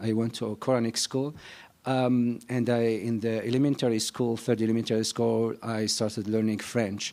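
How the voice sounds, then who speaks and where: A man's medium-pitched voice with a North African accent, monotone and flat, at a moderate pace. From Algeria (Algiers). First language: Berber. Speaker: novelist. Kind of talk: panel discussion. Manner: halting.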